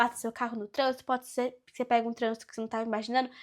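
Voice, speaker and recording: In a very clean recording with a silent background, a woman talks at a very fast pace in an animated tone. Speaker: youtuber. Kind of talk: tutorial.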